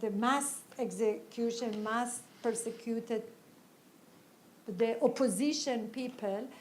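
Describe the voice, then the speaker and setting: A woman with a non-native accent speaks at a very slow pace in a monotone, flat way. Her pitch is fairly high, and the room echo is audible. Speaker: women's rights activist. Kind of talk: panel interview. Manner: halting.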